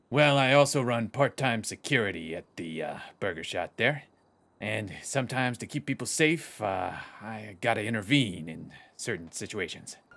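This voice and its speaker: A man uses a raspy, put-on character voice in a medium pitch, with lively intonation and big swings in loudness. He goes at a moderate pace on a very clean recording with a silent background. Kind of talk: tough-guy roleplay. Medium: game stream.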